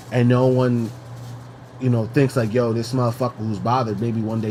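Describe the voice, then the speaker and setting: A man speaks at medium pitch and a moderate pace with an American accent. His intonation is monotone and flat, with noticeable background noise. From New York. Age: 30s. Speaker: podcast co-host. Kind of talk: casual chat. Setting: at home. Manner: halting.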